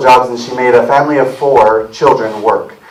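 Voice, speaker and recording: A man with an American accent talks fairly quickly in a fairly high pitch with fairly even intonation, over noticeable background noise. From rural South Carolina. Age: 30s. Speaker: political candidate, army veteran. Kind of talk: campaign speech. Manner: casual, hesitant.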